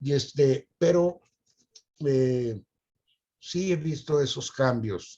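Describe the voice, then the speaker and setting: A man with a dark, mellow tone speaks in a fairly high, somewhat breathy voice at a very slow pace, with long, frequent pauses. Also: ordinary pitch variation. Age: 80s+. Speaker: retired teacher. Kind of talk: interview.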